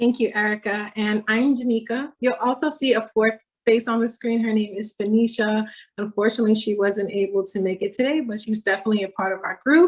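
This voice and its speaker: A woman with a Miami accent talks at a fairly quick pace. Her voice is fairly high and somewhat breathy, with ordinary pitch variation. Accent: Miami American English. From Miami, Florida (Haitian family). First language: Haitian Creole. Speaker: doctoral researcher presenter. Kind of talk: academic presentation.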